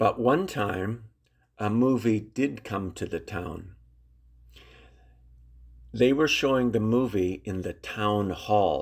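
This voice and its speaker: A man's fairly low voice at a very slow pace, with ordinary pitch variation, on a very clean recording with a silent background. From Saskatchewan, Canada. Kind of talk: read story for English learners. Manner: slow, clear.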